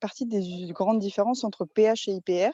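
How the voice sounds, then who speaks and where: A woman speaks in a dark, mellow tone with ordinary pitch variation, and the sound is dry and close with no echo. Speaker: pharmacy student asking a question. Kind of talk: audience question. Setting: video call.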